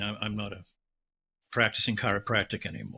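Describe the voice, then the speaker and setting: The recording is very clean, and the background is silent. A man's tone rings bright and sharp. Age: 70s. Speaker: healing practitioner, author. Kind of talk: interview. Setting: podcast interview.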